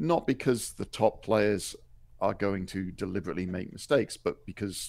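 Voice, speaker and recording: A man with a British accent and a very deep, low voice talks at a fairly quick pace. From Wales. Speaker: tournament referee and judge. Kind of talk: interview.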